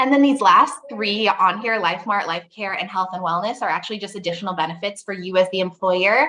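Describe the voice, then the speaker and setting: A woman at a medium pitch talks at a fairly quick pace with hardly any pauses and ordinary pitch variation. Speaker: payroll company representative. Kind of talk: webinar product demo. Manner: fast.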